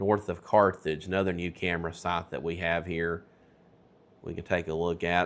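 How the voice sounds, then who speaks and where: On a very clean recording with a silent background, a man with a Tennessee accent speaks at a moderate pace in a very deep, low pitch with monotone, flat intonation. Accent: Tennessee Southern. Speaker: weather broadcaster. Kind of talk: live storm coverage. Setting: studio.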